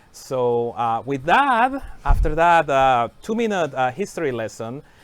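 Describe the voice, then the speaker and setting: A man speaks with lively intonation at a fairly high pitch, in a Spanish accent. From Mexico (Mérida, Yucatán). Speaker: software engineering manager, stream co-host. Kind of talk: casual livestream chat. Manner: hesitant, many fillers.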